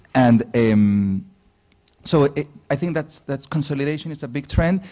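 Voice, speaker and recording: A man talks at a moderate pace in a fairly high pitch. His tone is dark and mellow, with ordinary pitch variation. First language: Spanish. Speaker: digital agency founder. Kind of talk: interview on stage. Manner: halting.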